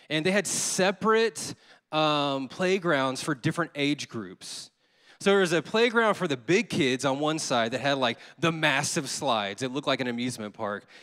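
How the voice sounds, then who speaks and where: A man with a Southern US accent, fairly high pitch and a bright, sharp, animated tone, very wide pitch swings and a moderate pace, on a very clean recording with a silent background. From Louisiana, US Deep South (Baton Rouge). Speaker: associate pastor. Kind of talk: sermon. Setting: church.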